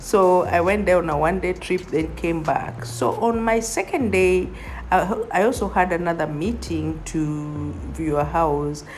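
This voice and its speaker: Music plays in the background as a woman speaks at a fairly slow pace, with audible room echo around her. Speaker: real estate agent. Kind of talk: vlog tour narration. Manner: animated.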